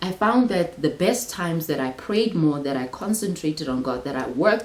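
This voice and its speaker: With noticeable background noise, a woman speaks at a moderate pace in a very deep, low pitch with very wide pitch swings. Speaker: Bible teacher, channel host. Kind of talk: Bible study talk. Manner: repeats words, filler-heavy.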